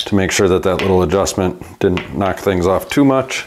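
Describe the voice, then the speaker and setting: The speaker talks at a moderate pace with an American accent. Noticeable background noise runs through the clip. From US Midwest. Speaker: bike repair shop owner and YouTuber; YouTuber. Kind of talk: tutorial. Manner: casual, conversational. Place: workshop.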